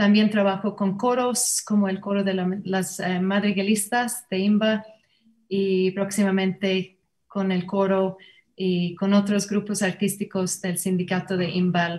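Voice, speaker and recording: A woman with an English accent at a fairly slow pace, somewhat breathy, with monotone, flat intonation. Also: medium pitch for a woman. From Ireland, Limerick. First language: English (speaking Spanish). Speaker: Alexander Technique teacher and singer. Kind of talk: panel discussion introduction. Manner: halting.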